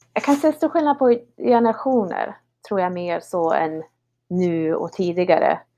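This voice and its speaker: Her pitch swings very widely around a medium level as this woman speaks in a dark, mellow tone. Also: fairly slow pace. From Sweden, Höga Kusten (Härnösand). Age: 30s. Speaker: ski guide. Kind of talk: interview conversation. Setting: online call. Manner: halting, with repeated words. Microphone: poor online audio.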